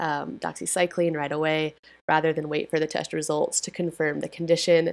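A very clean recording with a silent background, spoken at a fairly quick pace. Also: woman. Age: 30s. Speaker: public health podcast host. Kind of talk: news recap monologue. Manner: casual, filler-heavy.

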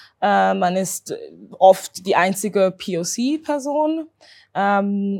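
Lively intonation shapes a woman's medium-pitched voice in a very clean recording with a silent background. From Switzerland, Zurich. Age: 20s. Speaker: doctoral researcher and anti-racism activist. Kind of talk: interview. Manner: halting.

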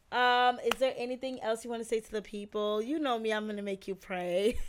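In a plain, everyday voice, a woman speaks at a moderate pace with fairly high pitch and fairly even intonation on a very clean recording with a silent background. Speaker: podcast host. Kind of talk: casual interview chat.

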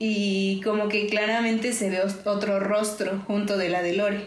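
A woman's medium-pitched voice is heard with noticeable background noise and audible room echo. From Mexico, Orizaba, Veracruz. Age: 20s. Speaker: visual artist. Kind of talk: casual chat.

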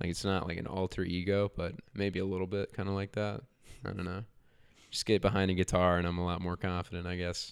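In a very clean recording with a silent background, a man with an American accent talks at a very fast pace in a very deep, low pitch and a monotone, flat intonation. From North Carolina, Charlotte area. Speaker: musician, guitarist. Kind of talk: casual interview chat.

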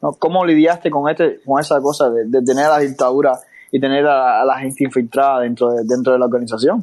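Words pour out very fast, the intonation fairly even. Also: man, medium pitch for a man. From Cuba. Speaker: podcast host. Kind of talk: casual interview. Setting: online audio room.

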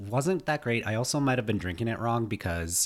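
Moderate pacing and ordinary pitch variation in a man's speech. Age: 30s. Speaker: podcast co-host, former broadcaster. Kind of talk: casual chat. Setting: remote recording. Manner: halting, lots of fillers.

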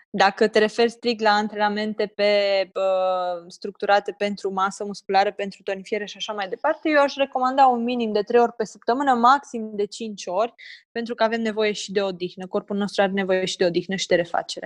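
In a plain, everyday voice, a woman speaks fairly quickly at a medium pitch with fairly even intonation, the sound dry and close with no echo against a quiet background. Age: 20s. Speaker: personal trainer for mothers. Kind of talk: interview, casual chat.

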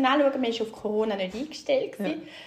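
In a normal speaking voice, the delivery has lively intonation and a moderate pace. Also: woman. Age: 40s. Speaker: guest sharing fertility story. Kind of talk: personal testimony.

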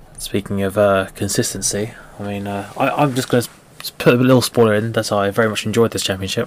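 A man talks at a very fast pace with a fairly low pitch and fairly even intonation. Noticeable background noise is present. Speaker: podcast host. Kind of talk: casual chat.

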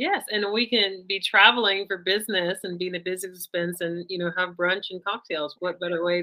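A woman with an American accent and a normal speaking voice, medium in pitch, at a fairly quick pace with hardly any pauses and fairly even intonation. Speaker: podcast host. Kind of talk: casual interview.

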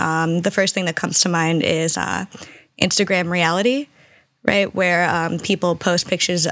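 An ordinary speaking voice at a moderate pace. The intonation stays fairly even. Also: woman. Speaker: podcast host. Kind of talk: casual conversation.

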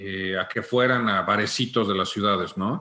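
Bright and sharp in tone, a man's fairly low voice holds a fairly even intonation. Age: 40s. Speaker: music technical production agency owner. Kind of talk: interview.

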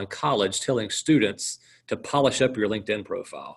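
This man has an American accent and a normal speaking voice at medium pitch. He talks at a fairly quick pace with ordinary pitch variation. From South Carolina, US South. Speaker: water plant outreach speaker. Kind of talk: casual chat.

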